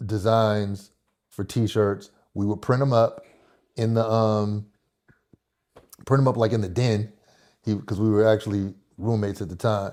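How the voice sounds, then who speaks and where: With an American accent, a man speaks in a dark, mellow tone at a fairly low pitch with fairly even intonation. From Oakland, California. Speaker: clothing brand owner and visual artist. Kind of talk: interview.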